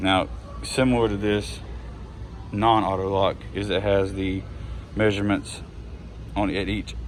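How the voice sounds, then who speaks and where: Long, frequent pauses break up this man's speech. His pitch is fairly low, and room echo is audible. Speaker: tool reviewer. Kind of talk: casual product walkthrough. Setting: in a hardware store. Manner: hesitant, many fillers.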